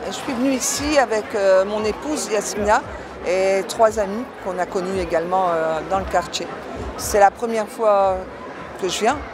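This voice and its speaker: Amid noticeable background noise and audible room echo, a woman of medium pitch speaks at a fairly slow pace with long, frequent pauses and ordinary pitch variation. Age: 60s. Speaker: festival-goer interviewee. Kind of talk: street interview.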